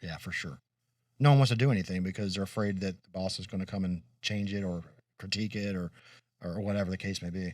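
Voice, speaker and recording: Very deep and low, a man's voice moves at a very fast pace with fairly even intonation. The recording is very clean and the background silent. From Kentucky. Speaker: podcast co-host. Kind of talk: casual chat.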